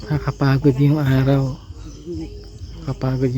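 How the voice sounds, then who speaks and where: Soft-spoken and monotone, a man holds a flat intonation at medium pitch and a moderate pace. Noticeable background noise is present. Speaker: family travel vlogger. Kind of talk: vlog narration. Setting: outdoors at campsite.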